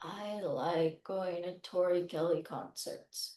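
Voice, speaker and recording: A put-on, robotic character voice, female-sounding and medium in pitch for a woman, at a fairly slow pace. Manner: monotone, robotic.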